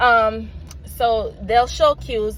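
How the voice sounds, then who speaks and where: Here a woman speaks in a Jamaican accent. Noticeable background noise runs under her voice. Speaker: parent vlogger. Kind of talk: casual vlog talk. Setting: in a car. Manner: halting, with many fillers.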